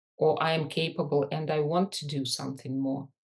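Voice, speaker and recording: Against a quiet background, a woman with a Russian accent talks at a very slow pace with fairly even intonation. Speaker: leadership and business coach. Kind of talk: podcast interview.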